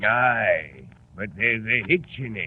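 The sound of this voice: Doing a put-on character voice, a man speaks slowly with lively intonation, a fairly low pitch and a slightly husky edge.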